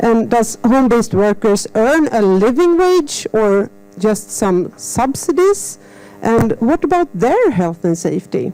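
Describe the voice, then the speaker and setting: Against noticeable background noise, a woman with a fairly high voice speaks at a fairly slow pace, her pitch swinging very widely while her loudness stays very even. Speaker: seminar moderator. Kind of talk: seminar introduction.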